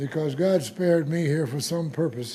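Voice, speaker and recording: With an American accent, a man speaks at a moderate pace in a dark, mellow tone, with audible room echo. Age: 90s. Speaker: war veteran. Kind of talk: speech.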